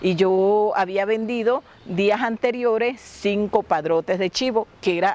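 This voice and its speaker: The woman talks at a very slow pace and a medium pitch with ordinary pitch variation. Her loudness stays very even. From La Guajira, Colombia (Wayuu). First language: Wayuunaiki (speaking Spanish). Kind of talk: interview storytelling.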